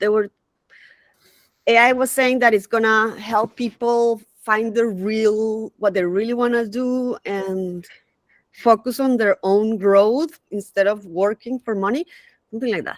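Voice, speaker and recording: A woman's fairly high voice with a non-native accent, fairly slow, in a dry, close sound with no echo. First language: not English. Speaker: community member sharing AI experiences. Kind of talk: casual chat. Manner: halting.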